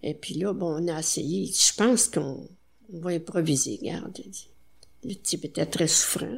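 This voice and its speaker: A woman speaks in a fairly low, somewhat breathy voice with lively intonation. She goes at a fairly slow pace with long, frequent pauses. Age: 80s+. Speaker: retired nurse. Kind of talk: interview.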